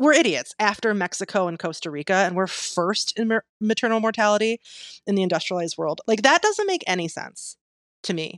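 Here a woman has an unremarkable speaking voice with lively intonation. The sound is dry and close, with no echo. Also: medium pitch for a woman, quiet background. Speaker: registered nurse and sex educator. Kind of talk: casual chat. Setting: remote recording online.

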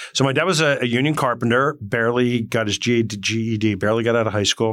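A man with a New Jersey accent talks at a very fast pace with ordinary pitch variation on a very clean recording with a silent background. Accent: New Jersey American. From northwestern New Jersey, Morris County. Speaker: company CEO. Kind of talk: interview conversation. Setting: studio.

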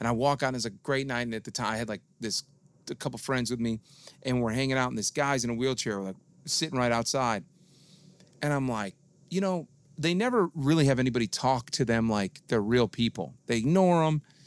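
A man speaks in an ordinary speaking voice at a medium pitch, with ordinary pitch variation and a fairly quick pace. The recording is very clean and dry, close and free of echo, over a silent background. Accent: American. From Detroit, Michigan. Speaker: DJ and radio personality. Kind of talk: casual chat.

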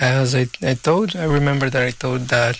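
A man speaks with a Portuguese accent. His intonation stays fairly even. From Brazil. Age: 30s. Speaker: photographer and filmmaker. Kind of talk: radio panel discussion. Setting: studio.

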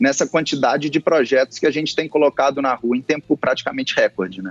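A man's normal speaking voice, fairly high in pitch, with lively intonation and a dry, close sound with no echo. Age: 30s. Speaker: football club executive. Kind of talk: interview.

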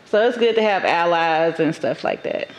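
Fairly even intonation in a woman's fairly low voice, with noticeable noise in the background. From Dallas, Texas (Oak Cliff) and Atlanta, Georgia. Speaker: entrepreneur in cannabis and bookstore business. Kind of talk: casual interview chat.

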